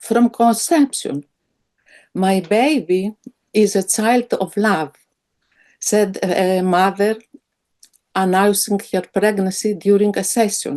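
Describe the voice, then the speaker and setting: A woman with a dark, mellow tone and medium pitch speaks at a very slow pace, with ordinary pitch variation and long, frequent pauses. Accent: Greek. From Greece. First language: Greek. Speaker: psychiatrist. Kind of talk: webinar presentation.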